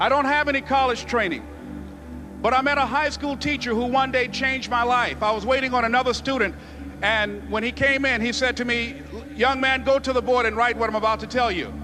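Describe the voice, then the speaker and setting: Music plays behind a man who talks fairly quickly in a raised, projected voice with an American accent. His pitch is extremely high and his intonation monotone and flat. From US South, Miami, Florida. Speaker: motivational speaker. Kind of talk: motivational speech.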